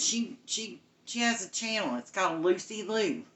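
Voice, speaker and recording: Someone speaks at a moderate pace in a Southern Appalachian accent. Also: woman. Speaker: cooking show host. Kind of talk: live cooking stream chat. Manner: casual.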